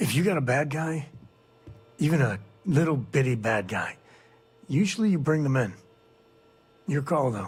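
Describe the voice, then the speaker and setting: In a put-on character voice, a man speaks at a moderate pace and a fairly high pitch. His voice is raspy, with long, frequent pauses. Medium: video game. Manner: folksy, drawling.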